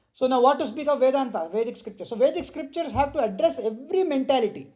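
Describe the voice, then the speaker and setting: Loud and very fast, a man speaks at an extremely high pitch with a dark, mellow tone and ordinary pitch variation. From India. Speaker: spiritual teacher. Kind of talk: religious discourse.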